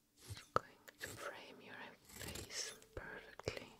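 A woman is whispering. She is soft-spoken. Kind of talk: soft-spoken ASMR role-play. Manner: soft ASMR whisper, close and gentle. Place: home room.

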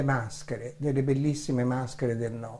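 A man speaks in a dark, mellow tone. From Italy, Florence; Italy. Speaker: theatre director and author. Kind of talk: book presentation. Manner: formal. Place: home room.

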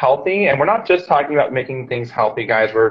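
A man's voice with ordinary pitch variation, set against a quiet background. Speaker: live show host. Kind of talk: casual host chat. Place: office. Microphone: webcam.

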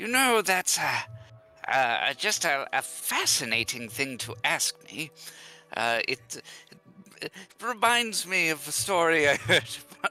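Putting on a character voice, a man swings very widely in pitch from a fairly high register, talking at a fairly slow pace with long, frequent pauses as music plays in the background. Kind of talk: in-character roleplay. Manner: musing, curious, mildly grand.

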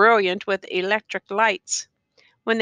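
The speaker uses an unforced reading voice with fairly even intonation. The background is quiet.

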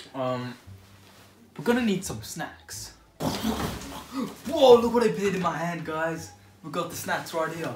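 With big swings in loudness, a man speaks very slowly against noticeable background noise. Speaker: vlogger. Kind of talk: casual vlog chat. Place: home room. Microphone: phone near.

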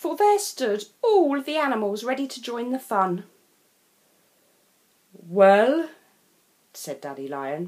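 Very slow and full of long, frequent pauses, a woman's high voice swings very widely in pitch and shows big swings in loudness. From England. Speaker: storyteller. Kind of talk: children's picture book read-aloud.

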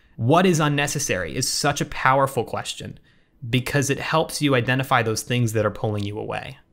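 Ordinary pitch variation marks a man's speech at a moderate pace. The background is quiet. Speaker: podcast host. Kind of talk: podcast monologue. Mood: warm, smiling. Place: home room.

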